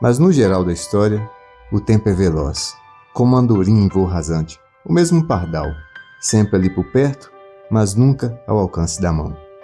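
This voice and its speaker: A man speaks at a moderate pace in a fairly low voice with lively intonation, leaving long, frequent pauses while music plays in the background. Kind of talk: documentary narration.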